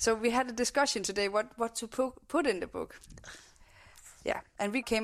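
On a very clean recording with a silent background, a fairly high-pitched woman with a Danish accent speaks at a moderate pace with ordinary pitch variation and long, frequent pauses. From Denmark. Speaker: podcast host. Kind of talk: casual interview chat. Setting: home kitchen studio.

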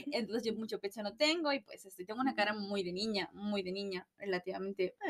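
Recorded with a dry, close sound and no echo, a woman speaks very fast at a medium pitch with ordinary pitch variation. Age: 20s. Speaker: podcast co-host. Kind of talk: casual chat.

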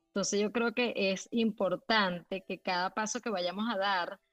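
In a dry, close sound with no echo, a woman with a plain, everyday voice speaks fairly slowly at a medium pitch, her intonation fairly even. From Venezuela. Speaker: graphic designer and illustrator. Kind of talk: casual interview. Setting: live audio room online.

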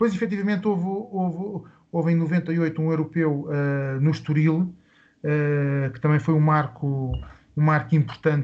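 He speaks at a fairly slow pace with a fairly high pitch. His pitch variation is ordinary for this man. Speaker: sports club founder. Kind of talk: interview. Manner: halting.

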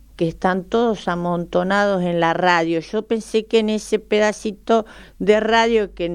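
With a Buenos Aires accent, a woman speaks at a fairly slow pace and a medium pitch. Her intonation is fairly even, and the background is quiet. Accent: more porteño than pampeano. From Argentina, La Pampa. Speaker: model and teacher, author. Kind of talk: radio interview.

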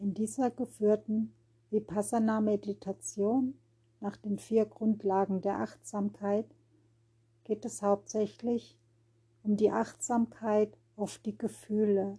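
Very slow, with long and frequent pauses, a woman speaks in a monotone, flat, somewhat breathy voice of medium pitch and dark, mellow tone. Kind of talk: guided meditation. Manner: slow, calm, soothing, with long pauses; gentle, repetitive, rhythmic, noting words repeated in threes.

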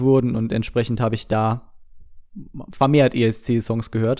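A man talks at a moderate pace in a medium-pitched, monotone, flat delivery. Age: 20s. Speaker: podcaster. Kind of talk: casual solo monologue. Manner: hesitant, many filler sounds.

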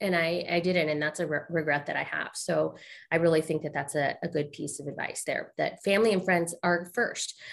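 A woman speaks with an unremarkable speaking voice at a fairly low pitch. Her pace is fairly quick. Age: 40s. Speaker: podcast host. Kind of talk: casual interview.

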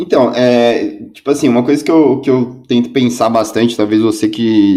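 This man's voice has a dark, mellow tone. He talks at a moderate pace. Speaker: co-host, commercial director. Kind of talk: live stream interview. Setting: at home.

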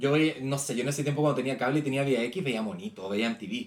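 A man talks fairly quickly, his pitch sitting in the medium range. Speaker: podcast co-host. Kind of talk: casual chat.

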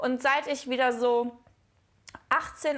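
The speaker is a woman with a high pitch. Her intonation holds fairly even. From Cologne, Germany. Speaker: podcast co-host. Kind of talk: casual chat.

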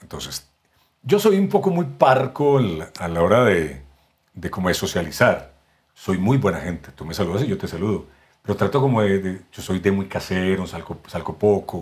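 A man's fairly low voice with lively intonation and big swings in loudness. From Colombia, Medellín. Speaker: voice actor and announcer. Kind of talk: casual interview.

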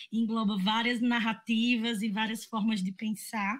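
A woman speaks at a fairly high pitch and a moderate pace. The recording is very clean, with a silent background. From Agreste of Pernambuco, Brazil (Garanhuns). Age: 20s. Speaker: actress and cultural producer. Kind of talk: casual chat.

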